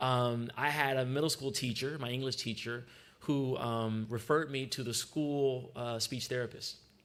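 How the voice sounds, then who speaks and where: In an American accent, a man speaks at a moderate pace with audible room echo around him. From US West Coast, Long Beach, California. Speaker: freestyle rapper giving a talk. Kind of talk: sermon-style personal talk at church service. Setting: church service. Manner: hesitant fillers (um, uh).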